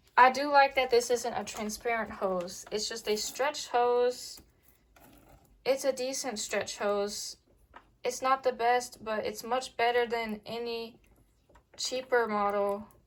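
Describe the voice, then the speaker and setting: A high-pitched woman's voice at a very slow pace, with fairly even intonation. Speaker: vacuum cleaner reviewer. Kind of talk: casual product review to camera.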